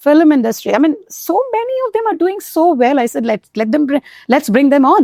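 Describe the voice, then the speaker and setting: A woman with an Indian accent, high pitch, very wide pitch swings, and a dark, mellow tone, at a fairly quick pace in a dry, close sound with no echo. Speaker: Hindi teacher. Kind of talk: interview answer.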